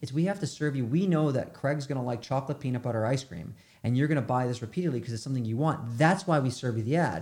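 This man speaks with an American accent in a medium pitch, with ordinary pitch variation. His voice is somewhat breathy and he takes hardly any pauses. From New York. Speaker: media agency founder. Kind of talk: interview.

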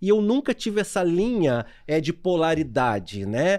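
Here a man with a dark, mellow tone and high pitch makes very wide pitch swings. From Niterói and São Gonçalo, Rio de Janeiro state, Brazil. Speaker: lawyer. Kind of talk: casual chat. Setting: video livestream.

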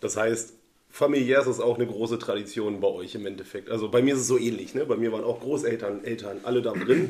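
A man speaks very fast at a medium pitch. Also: fairly even intonation. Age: 30s. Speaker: friend, former club shooter. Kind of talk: casual interview chat.

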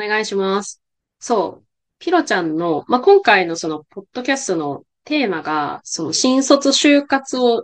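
Very wide pitch swings in a fairly high female voice. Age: 20s. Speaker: podcast host. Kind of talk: casual interview chat.

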